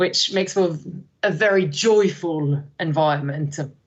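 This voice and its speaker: Speaking with a French accent, a woman talks at a very slow pace in a fairly low pitch. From France, countryside, moved to London at twelve. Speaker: learning and development manager. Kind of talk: podcast interview. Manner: energetic; hesitant fillers.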